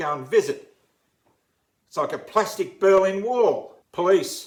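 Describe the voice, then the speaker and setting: A man speaks with an Australian accent. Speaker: uniformed worker. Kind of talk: impassioned public appeal.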